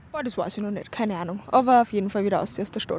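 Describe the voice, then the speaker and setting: A woman's medium-pitched voice with vocal fry, ordinary pitch variation and a fairly quick pace. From Upper Austria, Windischgarsten. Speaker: university student. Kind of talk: street interview. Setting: outdoors in a park.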